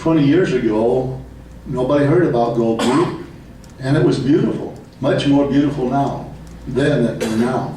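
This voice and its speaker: With very even loudness and ordinary pitch variation, the voice proceeds at a moderate pace amid audible room echo and noticeable background noise. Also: man, medium pitch for a man. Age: 70s. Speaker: public commenter at city council meeting. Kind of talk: public comment speech. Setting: city council meeting.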